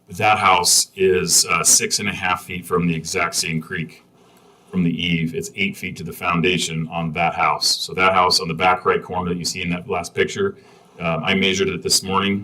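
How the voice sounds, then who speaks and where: A man's very deep, low pitch in monotone, flat intonation, with noticeable background noise. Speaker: variance applicant. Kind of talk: public hearing testimony. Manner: fast; halting.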